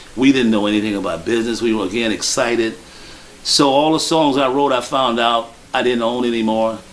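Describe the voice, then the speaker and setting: A man with an American accent speaks at medium pitch. His pace is fairly quick, with noticeable background noise. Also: ordinary pitch variation. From Chicago, South Side / Hyde Park. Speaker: blues musician. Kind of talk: interview monologue.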